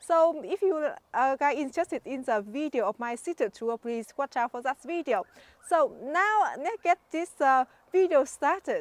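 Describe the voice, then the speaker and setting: A woman's high-pitched voice in a Vietnamese accent. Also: lively intonation, moderate pace, dry, close sound with no echo. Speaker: gardening YouTuber. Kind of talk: garden tour vlog. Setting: outdoors in garden. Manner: halting, many fillers.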